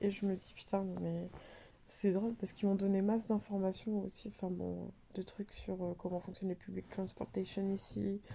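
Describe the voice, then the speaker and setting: Somewhat breathy and dark, mellow in tone, a woman at medium pitch speaks at a moderate pace in a French accent. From France. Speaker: vlogger, postdoctoral researcher. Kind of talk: casual vlog storytelling. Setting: in a dark bathroom during power cut. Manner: casual, many fillers.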